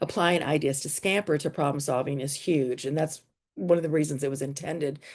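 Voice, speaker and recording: A woman with a very deep, low pitch, at a fairly quick pace. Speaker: teacher presenting at an education conference. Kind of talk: conference workshop presentation. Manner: fast.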